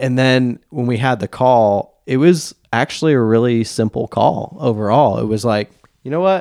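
Delivered at a moderate pace with an American accent, a plain, everyday voice carries ordinary pitch variation in a dry, close sound with no echo. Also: man, medium pitch for a man. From Asheville, North Carolina. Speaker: fly fishing gear rental business owner. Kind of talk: casual interview chat. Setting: home basement studio.

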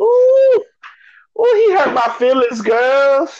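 A put-on character voice, high in pitch and at a very slow pace. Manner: sassy, exaggerated.

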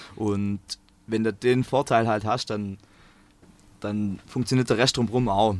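Fairly even intonation at a moderate pace. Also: man. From Swabia, southern Germany. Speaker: engineering student and choir singer. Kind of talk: casual interview. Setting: in a parked bus.

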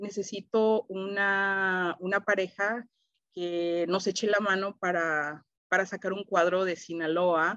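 A woman speaks very slowly in a medium-pitched voice with a bright, sharp tone and monotone, flat intonation. The sound is dry and close with no echo, and the background is quiet. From Toronto, Canada (Salvadoran-born, Mexican-influenced Spanish). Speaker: folk dance group director. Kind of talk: casual interview.

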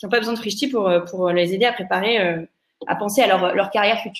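A woman with a normal speaking voice, fairly high in pitch, ordinary pitch variation and a fairly quick pace. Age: 30s. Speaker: startup founder. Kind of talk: interview.

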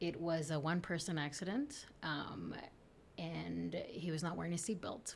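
In a room with audible echo, a woman speaks fairly low with vocal fry. Her pace is fairly slow, broken by long, frequent pauses. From South Texas (Rio Grande Valley), born in Tamaulipas, Mexico. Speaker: attorney. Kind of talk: interview.

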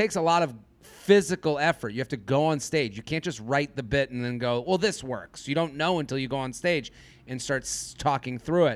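Here a man talks with a fairly high pitch and ordinary pitch variation. The recording is very clean, the background silent. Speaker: stand-up comedian. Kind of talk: interview conversation. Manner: loud; halting, many false starts.

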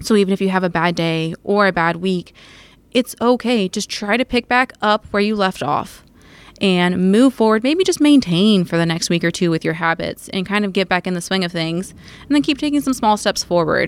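With an ordinary speaking voice, a woman talks at a moderate pace in a medium pitch. Her intonation is lively, and the sound is dry and close with no echo. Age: 20s. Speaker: dietitian and business owner. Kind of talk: casual chat.

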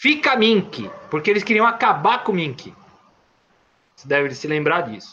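A man speaks at a moderate pace in a raised, projected, high-pitched voice. His pitch swings very widely, his loudness shifts a lot, and he takes long, frequent pauses. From São Paulo, east zone. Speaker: independent filmmaker and poet. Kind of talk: casual interview storytelling. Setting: online live stream. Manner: halting, repeats words.

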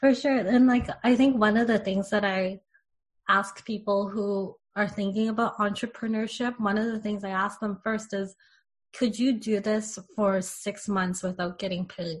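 In a quiet background, a woman speaks in a somewhat breathy way. Her intonation is fairly even. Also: medium pitch for a woman, moderate pace. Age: 30s. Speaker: spiritual podcast co-host and entrepreneur. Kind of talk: casual chat.

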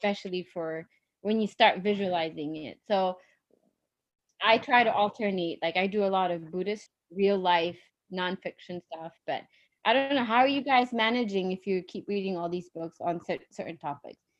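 A woman with an American accent talks at a moderate pace in a medium pitch, with ordinary pitch variation. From Ethiopia, then US. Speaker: business school friend of host. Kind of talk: casual chat. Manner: halting.

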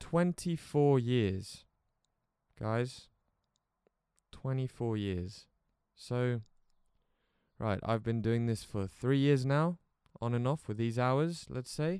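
A man with an English accent speaks at a very slow pace, leaving long, frequent pauses. His voice has a dark, mellow tone at a medium pitch, with ordinary pitch variation. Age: 20s. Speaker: podcaster and creative entrepreneur. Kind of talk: casual solo podcast monologue. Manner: casual, with frequent fillers and restarts.

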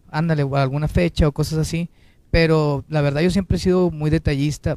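Here a man speaks with a dark, mellow tone and a fairly high pitch. His pace is moderate and his intonation fairly even. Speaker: singer. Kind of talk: interview.

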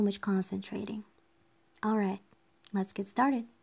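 A woman speaks at a moderate pace and medium pitch in a somewhat breathy voice with a dark, mellow tone. The recording is very clean with a silent background. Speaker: podcast host. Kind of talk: guided meditation.

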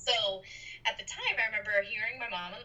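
A woman talks with an American accent and ordinary pitch variation. Noticeable background noise is present. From Boston, Massachusetts. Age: 20s. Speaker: professional medium. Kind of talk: interview.

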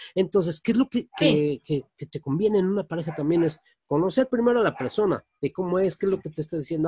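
Here a man speaks with a high-pitched voice and ordinary pitch variation. His pace is fairly quick. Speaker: radio host. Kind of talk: casual chat.

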